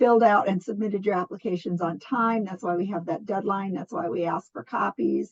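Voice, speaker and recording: A plain, everyday voice, this woman speaks at a medium pitch and a fairly quick pace with hardly any pauses and ordinary pitch variation, in a dry, close sound with no echo. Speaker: nonprofit program coordinator. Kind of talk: online funding presentation.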